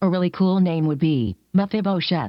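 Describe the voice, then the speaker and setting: The voice is a put-on character, pitched in the middle range. It moves along at a moderate pace. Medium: stage play. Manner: stiff, formal, no contractions.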